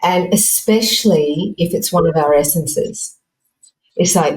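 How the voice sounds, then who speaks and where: Her pitch is fairly low for a woman. She sounds somewhat breathy. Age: 60s. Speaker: fashion and personal development coach. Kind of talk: podcast interview. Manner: halting.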